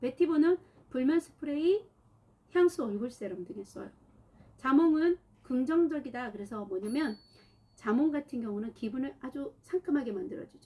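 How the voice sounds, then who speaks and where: A woman with a high pitch speaks with very wide pitch swings and big swings in loudness, broken by long, frequent pauses. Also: moderate pace. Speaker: aromatherapy oil instructor. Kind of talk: online class livestream. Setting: livestream.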